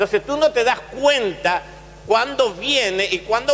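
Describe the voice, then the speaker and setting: Lively intonation from a man. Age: 60s. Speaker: pastor. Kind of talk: sermon.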